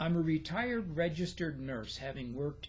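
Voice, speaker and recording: Audible room echo surrounds the voice of a man. He is somewhat breathy, with a fairly high pitch. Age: 70s. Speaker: retired nurse and model railroader. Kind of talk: casual vlog introduction.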